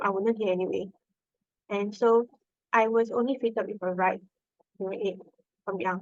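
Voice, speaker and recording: This woman has a medium pitch and a Singaporean accent, with fairly even intonation. The sound is dry and close, with no echo. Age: 20s. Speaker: nurse. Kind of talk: podcast interview. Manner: hesitant, many fillers.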